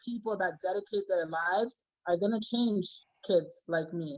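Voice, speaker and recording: A woman at medium pitch and a fairly slow pace, with ordinary pitch variation and an unremarkable speaking voice. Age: 20s. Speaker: youth care practitioner. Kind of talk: panel discussion.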